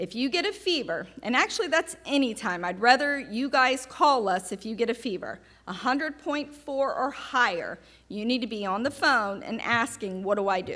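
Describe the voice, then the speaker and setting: With a Southern US accent, a woman speaks at a moderate pace in a high, bright, sharp voice with very wide pitch swings. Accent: Southern American. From US South. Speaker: oncology nurse. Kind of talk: patient education talk. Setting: seminar with live audience.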